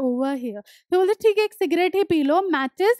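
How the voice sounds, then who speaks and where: A woman at a moderate pace, lively intonation, a quiet background and a dry sound with no echo. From India. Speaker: English teacher. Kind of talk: lecture. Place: studio. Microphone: headset.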